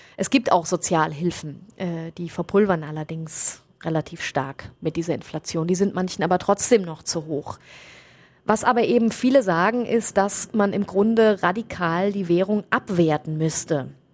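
In a very clean recording with a silent background, a woman with a normal speaking voice talks fairly low at a moderate pace with ordinary pitch variation. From Germany. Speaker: foreign correspondent. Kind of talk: interview.

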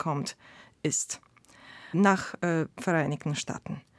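In a Polish accent, a woman speaks at a very slow pace with ordinary pitch variation. The sound is dry and close with no echo, a very clean recording with a silent background. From Poland. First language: Polish (speaking German). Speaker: sociologist and historian of ideas. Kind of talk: panel debate. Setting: studio.

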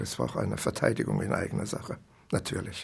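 A man's voice with vocal fry at a moderate pace. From East Germany. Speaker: writer. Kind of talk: interview recollection.

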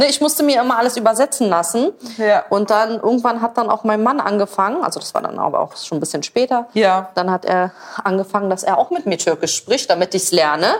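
Amid noticeable background noise, a woman with a fairly high pitch talks at a very fast pace with lively intonation. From Berlin, Germany. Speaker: social media creator, mother. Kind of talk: casual chat while cooking.

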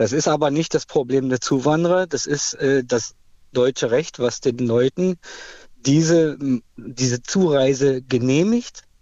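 With very even loudness, a man speaks at a fairly slow pace and fairly high pitch, with ordinary pitch variation. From Cottbus, eastern Germany. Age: 40s. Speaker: caller. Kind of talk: heated opinion call.

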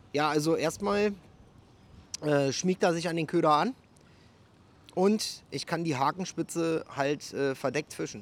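Long, frequent pauses from a man at a fairly high pitch, with a fairly slow pace and ordinary pitch variation. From Berlin. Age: 40s. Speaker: soldier and fishing YouTuber. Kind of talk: casual chat and angling tutorial. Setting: outdoors at a canal.

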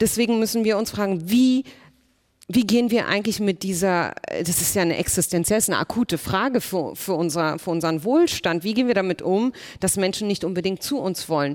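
A woman with an ordinary speaking voice talks at a fairly quick pace, with medium pitch and ordinary pitch variation. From Germany, Berlin. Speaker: politician. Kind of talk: panel discussion.

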